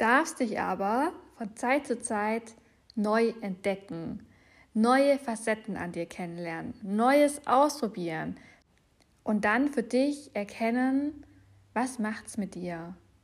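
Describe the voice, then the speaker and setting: Against a silent background in a very clean recording, a woman with a fairly high pitch and lively intonation speaks very slowly, with long, frequent pauses. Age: 20s. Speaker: personal development podcast host and trainer. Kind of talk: solo podcast monologue.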